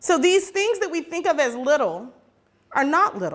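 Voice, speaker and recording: Very wide pitch swings fill a woman's animated tone. She keeps a fairly slow pace. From Oakland, California, US. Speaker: activist speaker. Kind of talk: public talk.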